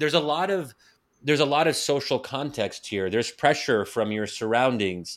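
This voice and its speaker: In an ordinary speaking voice, a man talks at a moderate pace with a fairly high pitch and lively intonation, on a very clean recording with a silent background. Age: 30s. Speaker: think tank fellow and author. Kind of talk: casual interview.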